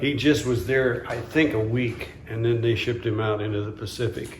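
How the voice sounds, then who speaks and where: With fairly even intonation and a somewhat breathy, medium-pitched voice, a man speaks amid audible room echo. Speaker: interviewee recalling wartime childhood. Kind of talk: oral history interview. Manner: halting.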